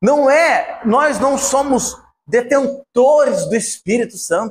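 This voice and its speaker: In an animated tone, a man talks with ordinary rise and fall in pitch. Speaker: preacher. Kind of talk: sermon.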